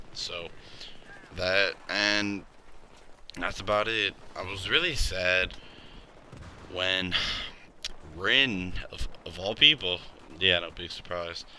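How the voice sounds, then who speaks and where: Over noticeable background noise, a man speaks at a very slow pace in a very deep, low voice with fairly even intonation. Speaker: anime and manga reviewer. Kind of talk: casual review monologue. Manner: halting.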